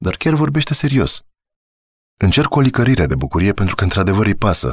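A man speaks at a fairly quick pace in a calm tone. Vocal fry runs through his voice. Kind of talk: audiobook narration. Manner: measured, calm, storytelling pace with a reflective tone.

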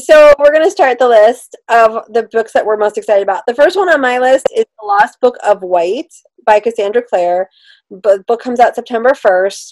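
A woman talks at a moderate pace, her intonation lively, with a quiet background behind her. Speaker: book reviewer co-host. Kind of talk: casual chat, book review. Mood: enthusiastic, light laughter. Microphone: video call.

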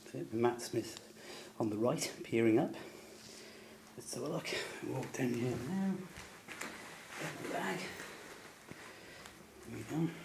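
Against noticeable background noise, a man whispers at a fairly slow pace with long, frequent pauses. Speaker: fan filming a location tour. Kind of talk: location walkthrough video tour. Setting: indoors, hotel. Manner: whispered. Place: hall. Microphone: phone near.

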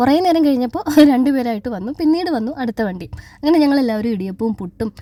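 Lively intonation shapes a woman's dark, mellow tone. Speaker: vlogger. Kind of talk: vlog narration. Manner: quiet, cannot speak louder.

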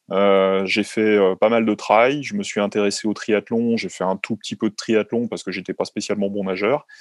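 A man speaks at a moderate pace with a fairly low pitch and fairly even intonation, in a dry recording with no echo and a quiet background. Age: 40s. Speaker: sports doctor; guest. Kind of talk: interview; interview answer. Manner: halting, many fillers. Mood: calm, explanatory. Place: home room. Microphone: video call.

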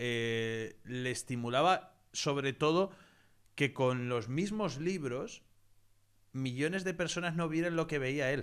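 Against a quiet background, a man with an ordinary speaking voice talks at a fairly slow pace. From Spain. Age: 30s. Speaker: investing educator and channel host; investing educator, channel host. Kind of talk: interview / online masterclass. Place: home room. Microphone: studio mic.

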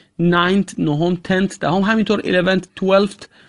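Recorded dry and close with no echo over a quiet background, a man speaks at a high pitch with ordinary pitch variation. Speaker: English teacher. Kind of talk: tutorial.

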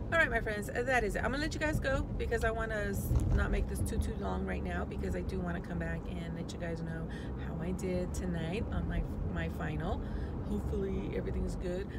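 Loud background noise runs behind this woman. She speaks at a fairly quick pace. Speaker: vlogger. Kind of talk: casual vlog chat. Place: car. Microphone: phone near.

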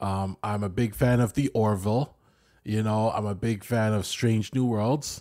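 A man in a Canadian accent with a normal speaking voice, medium pitch and a fairly slow pace, in a very clean recording with a silent background. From Canada. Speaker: podcast co-host. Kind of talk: casual chat.

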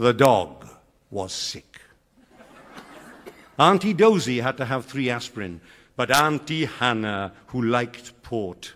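Long, frequent pauses break up a man's very slow speech. He talks with a Welsh accent. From South Wales. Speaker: retired schoolteacher. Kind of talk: poetry reading. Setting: theatre stage. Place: stage.

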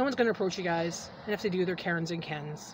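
Over noticeable background noise, a woman with a fairly low pitch and ordinary pitch variation talks at a very fast pace, the sound dry with no echo. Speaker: vlogger. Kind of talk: casual vlog chat. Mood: defiant, fed up. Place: car. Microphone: phone near.

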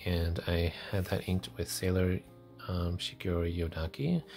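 With music in the background, a man speaks at a fairly slow pace in a very deep, low voice. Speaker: fountain pen reviewer. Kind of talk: casual review talk to camera. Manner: chatty, hesitant.

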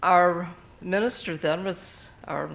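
This voice belongs to a woman. It sits at a fairly low pitch. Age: 80s+. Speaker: retired librarian. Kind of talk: testimony. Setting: church. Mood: warm, reflective. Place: church.

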